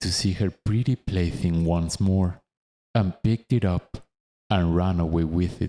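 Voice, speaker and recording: Speaking very slowly with a non-native accent, a man has a dark, mellow tone. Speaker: narrator. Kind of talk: audiobook reading. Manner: calm.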